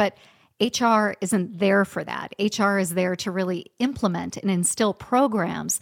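In a normal speaking voice, a woman talks at medium pitch with ordinary pitch variation, recorded very cleanly against a silent background with a dry, close sound and no echo. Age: 40s. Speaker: HR leader turned writer and speaker. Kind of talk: podcast interview.

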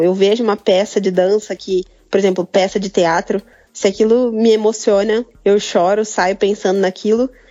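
This woman has an ordinary speaking voice. It sits fairly high in pitch at a moderate pace. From Brazil, interior of São Paulo state. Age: 20s. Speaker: photographer and design student. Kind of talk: casual interview chat.

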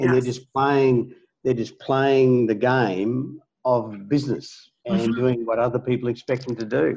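A man with an ordinary speaking voice talks at a moderate pace in a medium pitch, with fairly even intonation. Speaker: podcast host. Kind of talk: casual interview.

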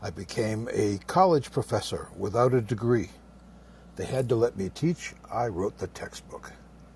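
Lively intonation marks this dark, mellow, somewhat breathy voice, delivered at a moderate pace. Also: man. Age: 70s. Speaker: veteran photographer and former college teacher. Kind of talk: personal story in group discussion. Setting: live audio app room.

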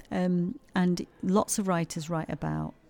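With a Yorkshire accent, a woman talks in a dark, mellow tone. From Yorkshire, England. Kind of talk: interview about her play. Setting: quiet corner at a heritage centre.

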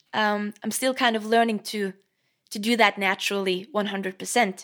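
With a Norwegian accent, a woman speaks at a moderate pace in a fairly high voice with ordinary pitch variation. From Norway. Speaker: guitarist and singer-songwriter. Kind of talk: casual interview chat. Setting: video call.

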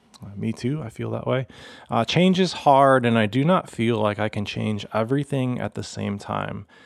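On a very clean recording with a silent background, a man with an unremarkable speaking voice talks at a medium pitch and moderate pace, using ordinary pitch variation. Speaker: pastor. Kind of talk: casual chat.

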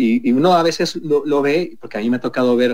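Delivered with ordinary pitch variation at a moderate pace, this is an unremarkable speaking voice. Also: man. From Mexico City. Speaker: hotel group executive. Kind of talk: radio interview. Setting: video call.

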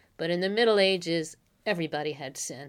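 A woman with a fairly low pitch and ordinary pitch variation, on a very clean recording with a silent background. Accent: American. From the Bronx, New York. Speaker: college professor of medieval literature. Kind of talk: interview about literature.

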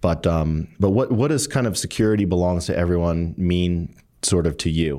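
In a very clean recording with a silent background, a man speaks at a moderate pace in a very deep, low pitch, his tone dark and mellow and his loudness very even. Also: lively intonation. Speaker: tech company executive and interviewer. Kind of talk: interview conversation. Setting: studio.

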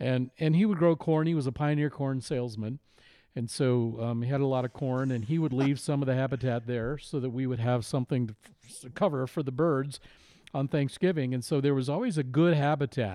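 Using an ordinary speaking voice, a man with an American accent speaks at medium pitch and a fairly quick pace with ordinary pitch variation. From Iowa, US Midwest. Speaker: podcast producer. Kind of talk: casual chat.

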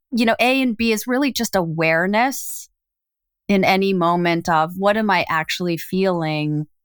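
Here is a normal speaking voice, a woman at medium pitch with ordinary pitch variation and a moderate pace. The sound is dry and close with no echo, on a very clean recording with a silent background. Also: very even loudness. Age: 50s. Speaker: executive coach and author. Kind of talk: casual chat.

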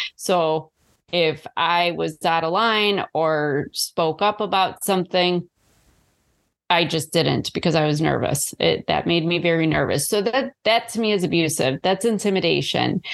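Against a quiet background, a woman with a plain, everyday voice and a fairly low pitch speaks at a fairly slow pace with ordinary pitch variation. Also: very even loudness. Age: 40s. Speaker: author and abuse survivor. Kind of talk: interview.

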